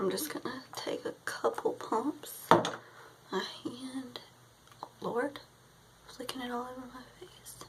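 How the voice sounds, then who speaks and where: Against noticeable background noise, a woman talks at a very slow pace with long, frequent pauses and big swings in loudness. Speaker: beauty vlogger. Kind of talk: casual tutorial chat.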